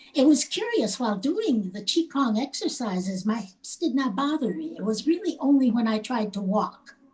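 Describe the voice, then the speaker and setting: Over noticeable background noise, a high-pitched woman talks at a moderate pace with hardly any pauses and very wide pitch swings. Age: 70s. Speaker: qigong student. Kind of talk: testimony.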